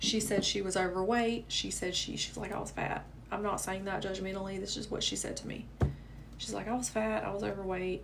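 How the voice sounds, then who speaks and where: A woman with a Southern US accent at a fairly quick pace, amid noticeable background noise and audible room echo. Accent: southern American. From US South. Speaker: manifestation coach. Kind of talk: live stream chat. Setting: livestream. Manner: casual, chatty.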